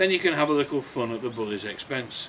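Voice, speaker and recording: With noticeable background noise, a man speaks at a medium pitch with lively intonation. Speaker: author. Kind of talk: introduction to a reading, talk to listeners.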